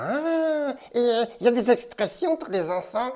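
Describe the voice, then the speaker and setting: In a cartoonish character voice, the speaker has a female-sounding voice pitched high for a woman. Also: fairly slow pace. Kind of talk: English lesson for French speakers. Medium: puppet.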